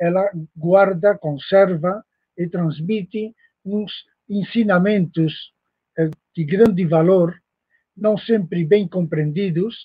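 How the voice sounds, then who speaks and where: The voice moves at a very slow pace with long, frequent pauses and fairly even intonation. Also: man, high pitch for a man. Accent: Spanish. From Spain. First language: Spanish (speaking Portuguese). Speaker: professor, esoteric lecturer. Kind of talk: lecture. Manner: halting, many fillers.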